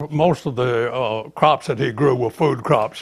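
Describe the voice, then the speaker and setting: At a moderate pace, a man with an Alabama accent speaks in a somewhat breathy voice at medium pitch with ordinary pitch variation. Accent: Southern US (Alabama). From US South, Baldwin County, Alabama. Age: 90s. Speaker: retired teacher and local historian. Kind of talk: oral history interview. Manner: halting, frequent fillers and repeats.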